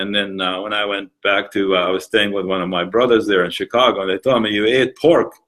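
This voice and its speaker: A man speaks with a Palestinian accent at a very fast pace. His pitch variation is ordinary. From Palestine. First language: Arabic. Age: 60s. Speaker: museum founder. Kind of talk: interview. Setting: museum, live recording. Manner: halting, many fillers.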